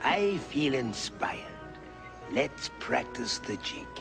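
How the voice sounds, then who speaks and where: A man's fairly low put-on character voice at a fairly slow pace over loud background music. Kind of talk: stagey theatrical delivery. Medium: voice reel.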